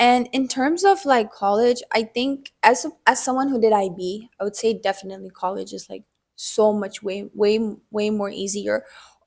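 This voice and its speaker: A woman talks at a moderate pace in a normal speaking voice. Her pitch sits fairly high, with ordinary pitch variation. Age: 20s. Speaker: university student. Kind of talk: casual interview. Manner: filler-heavy casual speech.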